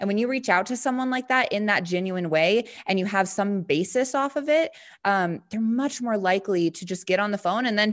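A woman with a plain, everyday voice speaks fairly quickly in an American accent. Her pitch varies in an ordinary way against a quiet background. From Montana. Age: 20s. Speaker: network marketing entrepreneur. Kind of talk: interview.

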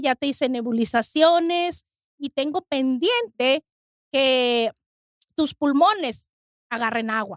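A woman speaks in a high voice at a fairly slow pace, with ordinary pitch variation. The sound is dry and close, with no echo. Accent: Mexican. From Mexico. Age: 40s. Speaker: kidney transplant recipient. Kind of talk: testimony.

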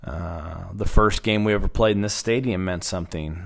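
A man with an American accent in a normal speaking voice, fairly low in pitch, at a moderate pace. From Oklahoma, Stillwater. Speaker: college baseball head coach. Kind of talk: interview.

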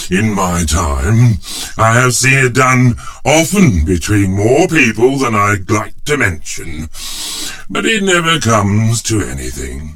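Very slowly and with very wide pitch swings, a man speaks in a fairly low pitch over noticeable background noise. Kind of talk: character acting in a dramatized audiobook. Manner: gruff, cranky old-man voice, chuckling, theatrical.

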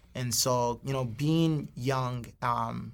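Fairly even intonation from a man at medium pitch. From Hawaii, North Shore of Oahu. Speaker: singer. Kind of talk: casual interview.

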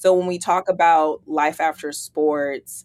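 Over a silent background in a very clean recording, a woman with an American accent talks very slowly at a fairly low pitch with fairly even intonation. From US West Coast, San Francisco Bay Area. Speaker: former athlete, corporate events leader. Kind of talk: interview, casual conversation.

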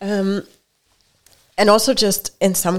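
A woman speaks at a moderate pace with a Hungarian accent. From Hungary. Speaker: computer science professor. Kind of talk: casual interview.

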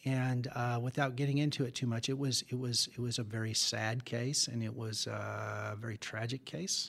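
A man with a normal speaking voice and an American accent talks at a moderate pace with a medium pitch, fairly even intonation and hardly any pauses, on a very clean recording with a silent background. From Southern California. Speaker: agriculture business lawyer. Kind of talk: interview.

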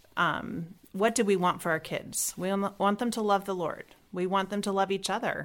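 An ordinary speaking voice at a moderate pace, with fairly even intonation and hardly any pauses. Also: woman, medium pitch for a woman. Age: 40s. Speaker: homeschooling mother, trained nurse. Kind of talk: interview.

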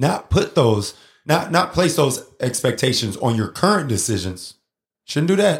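A man's somewhat breathy, animated voice at medium pitch with very wide pitch swings, on a very clean recording with a silent background. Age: 40s. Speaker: podcast host and emcee. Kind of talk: motivational casual talk.

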